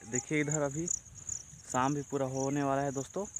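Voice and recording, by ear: A man at a moderate pace, with a fairly bright tone and fairly high pitch.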